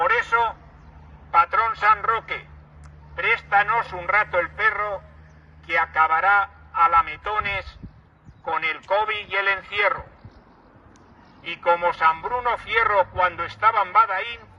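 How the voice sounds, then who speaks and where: A man talks very slowly, with long, frequent pauses, over noticeable background noise. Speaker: town crier. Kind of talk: rhymed festival proclamation.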